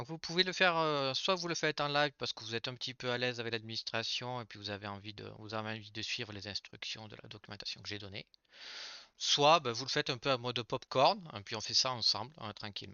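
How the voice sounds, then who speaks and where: Soft-spoken and very fast, a man talks at a medium pitch with ordinary pitch variation and big swings in loudness. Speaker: IT trainer. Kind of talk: live tutorial workshop. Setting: live stream. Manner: hesitant, many fillers.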